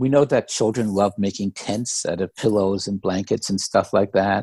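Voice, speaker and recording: The speaker has a dark, mellow tone and lively intonation at a moderate pace, on a very clean recording with a silent background. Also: man. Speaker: co-founder of a grandparents network, interview guest. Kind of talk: interview answer. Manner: conversational, explanatory.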